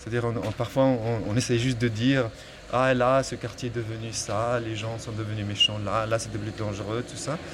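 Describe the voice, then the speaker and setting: Against noticeable background noise, a man talks at a medium pitch and a moderate pace in a monotone, flat delivery. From Morocco, Salé. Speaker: novelist. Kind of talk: personal testimony on a walk. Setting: outdoors, walking through the city. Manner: halting, with many repetitions.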